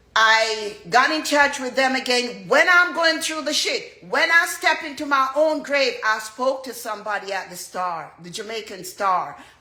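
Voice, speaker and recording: Her voice raised and projected, a woman with a high pitch speaks at a fairly slow pace with very wide pitch swings and big swings in loudness, amid noticeable background noise and audible room echo. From Jamaica. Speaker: dancehall artist. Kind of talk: testimony.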